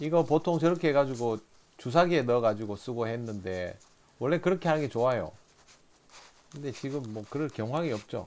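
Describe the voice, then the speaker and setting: Man with a Daegu accent, medium pitch, lively intonation, fairly quick pace broken by long, frequent pauses. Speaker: fishing instructor. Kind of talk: instructional commentary.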